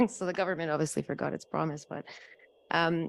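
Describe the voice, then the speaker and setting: In a Canadian accent, a woman talks at a very fast pace with vocal fry and a fairly low pitch. The recording is very clean, with a silent background. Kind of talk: panel discussion.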